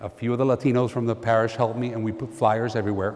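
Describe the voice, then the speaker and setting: Over noticeable background noise and audible room echo, a man speaks at a fairly quick pace with a medium pitch. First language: Spanish. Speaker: priest. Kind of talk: conference talk with storytelling. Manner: animated.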